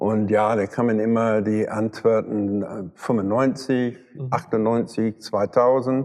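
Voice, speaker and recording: A man with an English accent speaks in a monotone, flat intonation. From London, England. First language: English (speaking German). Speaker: car photographer and retoucher. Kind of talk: interview. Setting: photo studio. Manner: halting.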